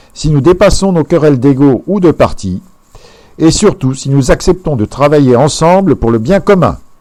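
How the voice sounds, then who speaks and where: The speaker is a man with a dark, mellow tone. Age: 60s. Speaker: presidential candidate. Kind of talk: campaign speech. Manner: formal.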